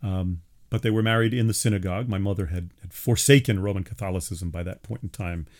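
Very fast speech in a New York accent with ordinary pitch variation. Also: man, fairly low pitch for a man. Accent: New York area American. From US Northeast, Long Island, New York. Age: 50s. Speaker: college professor of religious studies, podcast host. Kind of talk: solo monologue podcast. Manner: hesitant, many fillers and restarts.

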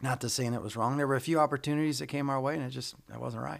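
On a very clean recording with a silent background, a man with an American accent talks in a plain, everyday voice at a medium pitch with ordinary pitch variation. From Michigan. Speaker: pastor. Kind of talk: casual interview.

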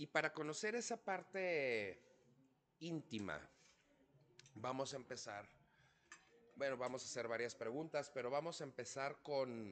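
An animated man with a medium pitch and lively intonation talks at a fairly slow pace, leaving long, frequent pauses. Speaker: podcast host, chef. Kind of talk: casual chat.

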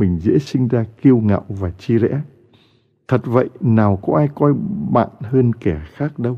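With lively intonation, this is an ordinary speaking voice. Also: man. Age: 60s. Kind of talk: sermon.

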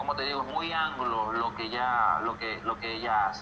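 A man with a Venezuelan accent speaks at a medium pitch. Audible room echo and noticeable background noise surround his voice. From Venezuela, Valles del Tuy (Miranda). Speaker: singer and music producer. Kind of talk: interview.

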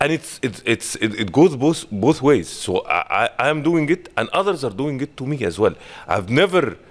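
Moderate pace with an Arabic accent, vocal fry and very wide pitch swings. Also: man. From Egypt. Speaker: marketing manager, former TV and radio presenter. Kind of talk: interview.

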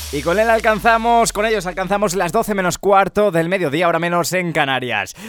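A man speaks at a fairly quick pace in an animated tone and a high pitch, with hardly any pauses and music in the background. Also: ordinary pitch variation. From Spain (Ávila). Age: 20s. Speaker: radio host. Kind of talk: call-in radio show.

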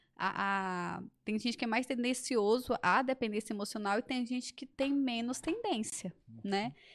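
A woman's plain, everyday voice, with ordinary pitch variation at a moderate pace. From Brasília. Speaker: body-language therapist. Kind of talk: interview explaining a topic.

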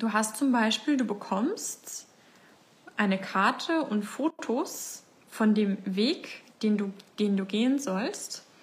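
A woman's somewhat breathy, fairly high voice at a very slow pace, with ordinary pitch variation. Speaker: life coach and podcast host. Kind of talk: facebook live talk to community. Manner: casual, with many fillers.

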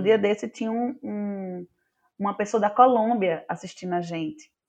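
An unremarkable speaking voice from a woman: medium pitch, ordinary pitch variation, moderate pace. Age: 30s. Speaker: actress and drama teacher. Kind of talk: casual chat.

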